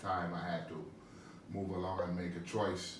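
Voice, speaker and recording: A man talks against noticeable background noise, with audible room echo in the space. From Panama. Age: 60s. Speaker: visually impaired athlete and musician. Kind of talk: interview. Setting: studio.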